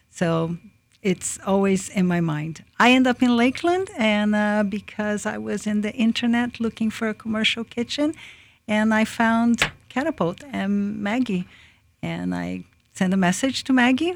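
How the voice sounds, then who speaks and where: A woman speaks at a fairly slow pace with a Portuguese accent and lively intonation. Her fairly high voice sits on a very clean recording with a silent background. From Brazil, Japanese-Brazilian. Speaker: food business founder. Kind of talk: radio interview. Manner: halting.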